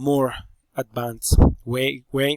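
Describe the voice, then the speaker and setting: The sound is dry and close, with no echo. Pitch variation is ordinary. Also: man. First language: Spanish. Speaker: teacher. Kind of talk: presentation. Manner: halting.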